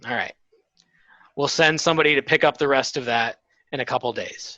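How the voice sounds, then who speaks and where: A man does a put-on character voice that is raspy and fairly high, with fairly even intonation at a fairly quick pace. The sound is dry and close with no echo, over a quiet background. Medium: actual play. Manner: hesitant, halting.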